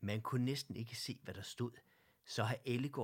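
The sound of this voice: An unforced reading voice is heard here.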